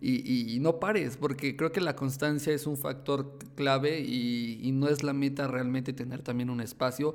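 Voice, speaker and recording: The speaker goes at a fairly slow pace with hardly any pauses and fairly even intonation. Noticeable background noise is present. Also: man, fairly high pitch for a man. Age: 20s. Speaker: YouTube tech content creator. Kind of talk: casual interview chat. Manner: halting, many fillers and repetitions.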